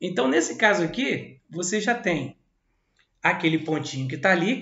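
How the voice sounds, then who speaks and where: A man speaks with lively intonation and a high pitch. Audible room echo surrounds the voice. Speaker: math teacher. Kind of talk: lecture. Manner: casual, animated.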